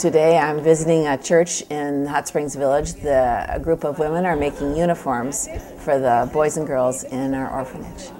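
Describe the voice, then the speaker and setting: Noticeable background noise sits behind a woman with a very deep, low pitch. She keeps a moderate pace and fairly even intonation with hardly any pauses. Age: 70s. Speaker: orphanage founder, retired volunteer. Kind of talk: documentary interview.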